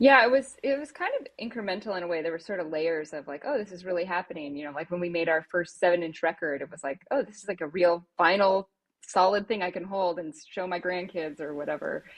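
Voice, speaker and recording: A woman with a fairly low pitch talks at a very fast pace, hardly pausing at all. Her intonation is lively, and her loudness swings widely. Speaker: former rock band singer. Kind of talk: interview answer. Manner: casual, humorous.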